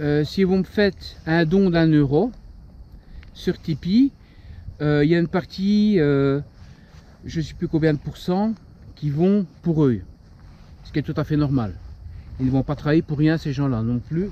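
A man with a fairly high pitch and a dark, mellow tone speaks at a fairly slow pace with ordinary pitch variation, long, frequent pauses and a dry sound with no echo. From Belgium. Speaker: paranormal urbex YouTuber. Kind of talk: casual channel update vlog. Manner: hesitant, many fillers. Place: open country. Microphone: lapel.

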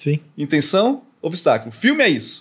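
The background stays quiet. A man speaks over it at a fairly quick pace. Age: 30s. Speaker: content creator. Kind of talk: casual chat. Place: studio. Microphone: studio mic.

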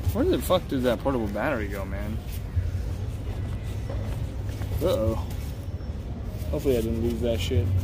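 A man speaks at a moderate pace with long, frequent pauses. Music plays in the background. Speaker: travel livestreamer. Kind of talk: casual vlog chat. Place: street. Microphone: phone near.

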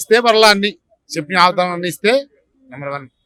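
A man's bright, sharp tone in a dry, close sound with no echo. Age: old. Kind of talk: street interview answer.

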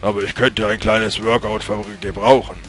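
Over clear background music, a man puts on a character voice at a medium pitch. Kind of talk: comic villain grandeur. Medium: game stream. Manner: haughty, mocking.

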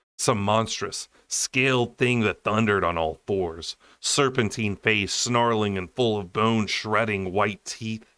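Intonation stays fairly even as someone reads aloud in a natural voice.

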